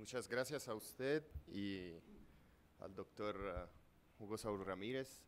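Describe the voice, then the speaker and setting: A man talks at a fairly slow pace. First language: Italian (speaking Spanish). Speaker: law professor. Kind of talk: lecture. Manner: reading aloud; halting.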